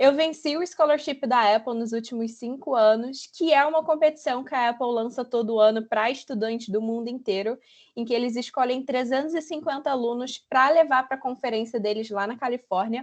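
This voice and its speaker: Against a quiet background, a woman speaks at a high pitch and moderate pace in an animated tone, with ordinary pitch variation and hardly any pauses. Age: 20s. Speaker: UX designer. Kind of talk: online talk presentation.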